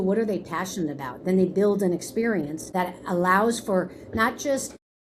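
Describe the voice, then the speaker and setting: A woman's medium-pitched voice with ordinary pitch variation and an American accent. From New York, Hudson Valley (Kingston). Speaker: school leader in special education. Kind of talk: interview conversation. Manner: fast.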